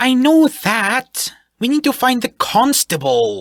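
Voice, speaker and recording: A woman puts on a character voice, high-pitched and at a fairly slow pace. The sound is dry and close, with no echo. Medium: read story. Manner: haughty, confident, commanding.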